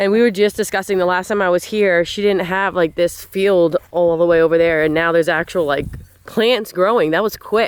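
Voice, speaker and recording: A woman with a New Jersey accent talks at a moderate pace. Her pitch is medium and her intonation fairly even. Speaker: farmer and farm vlogger. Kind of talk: casual vlog narration.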